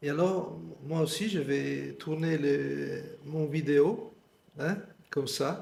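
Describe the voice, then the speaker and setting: In a room with audible echo, a man speaks at a very slow pace with long, frequent pauses. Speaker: meditation teacher. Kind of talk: guided meditation. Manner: halting.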